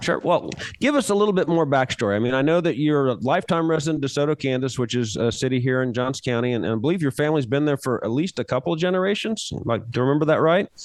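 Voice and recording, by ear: A man talks fast at a medium pitch. His intonation is lively.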